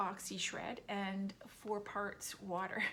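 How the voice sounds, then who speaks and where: At a very slow pace, a woman talks in a medium pitch with monotone, flat intonation. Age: 60s. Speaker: vlogger. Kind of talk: casual monologue. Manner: hesitant, many fillers.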